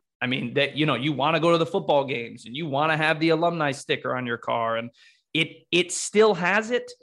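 An unremarkable speaking voice, this man talks at a fairly quick pace with an American accent, a fairly high pitch and ordinary pitch variation. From Connecticut. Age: 30s. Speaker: podcast host. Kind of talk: panel discussion. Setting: early morning recording.

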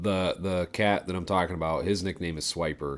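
In a very clean recording with a silent background, a man with vocal fry speaks fairly quickly with ordinary pitch variation. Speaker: podcast co-host. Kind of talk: casual chat. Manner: mush-mouthed.

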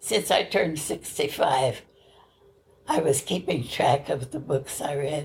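With an American accent, a woman talks at a fairly slow pace in a somewhat breathy voice. Her pitch is very deep and low, with ordinary variation. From US Midwest. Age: 80s+. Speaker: centenarian interviewee. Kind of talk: casual interview. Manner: cheerful, laughs often.

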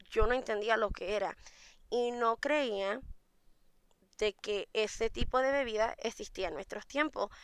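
The recording is very clean with a silent background. A woman speaks in a plain, everyday voice, fairly high in pitch with ordinary pitch variation. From Puerto Rico. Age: 30s. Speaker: mead maker. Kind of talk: interview.

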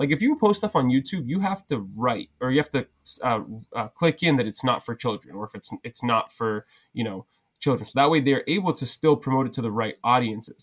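A man with a plain, everyday voice talks at a fairly quick pace and medium pitch, with lively intonation and big swings in loudness. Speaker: social media content creator and bar owner. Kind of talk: casual chat.

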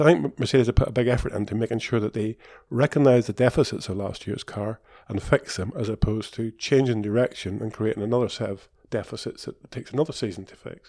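A man speaks at a fast pace. His pitch is fairly low. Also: ordinary pitch variation, slightly mellow tone.

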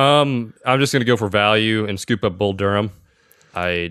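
Speaking at a moderate pace, a man with fairly low pitch, ordinary pitch variation and an unremarkable speaking voice. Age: 20s. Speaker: podcast producer. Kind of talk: casual chat.

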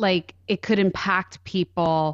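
Over a quiet background, a woman with an American accent uses a normal speaking voice at medium pitch, with dry, close sound with no echo. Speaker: grief podcast host. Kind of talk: casual interview. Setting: remote call.

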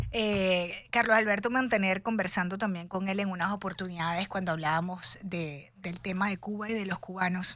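This woman has an unremarkable speaking voice with a medium pitch and fairly even intonation. She keeps a moderate pace with hardly any pauses. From Venezuela, Cuban parents. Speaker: radio host. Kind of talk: live radio talk show. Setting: radio studio.

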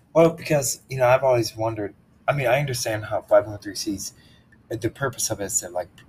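Speaking at a very fast pace, a man has a somewhat breathy voice and ordinary pitch variation. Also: big swings in loudness. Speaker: podcast host. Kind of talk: interview conversation on faith. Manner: hesitant, searching for words.

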